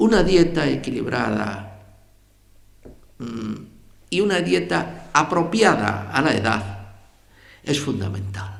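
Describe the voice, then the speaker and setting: With vocal fry and a fairly low pitch, a man speaks at a very slow pace, his pitch swinging very widely between long, frequent pauses. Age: 80s+. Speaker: journalist and writer. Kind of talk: public lecture.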